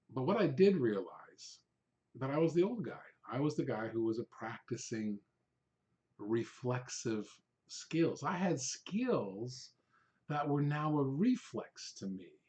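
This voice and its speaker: A man with a fairly high pitch and a dark, mellow, somewhat breathy tone speaks at a fairly slow pace, his pitch swinging very widely between long, frequent pauses. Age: old. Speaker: real estate agent and former TV presenter. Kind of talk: casual talk to camera about a career.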